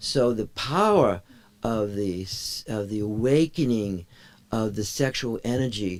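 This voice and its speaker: This man has an unremarkable speaking voice, medium in pitch with ordinary pitch variation. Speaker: meditation teacher. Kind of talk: lecture. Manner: interactive, checking in with audience.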